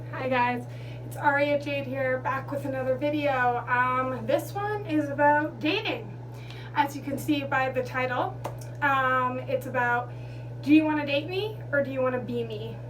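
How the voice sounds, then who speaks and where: A woman talks at a moderate pace. There is audible room echo and noticeable background noise. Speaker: vlogger. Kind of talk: storytime monologue. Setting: bathroom. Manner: loud.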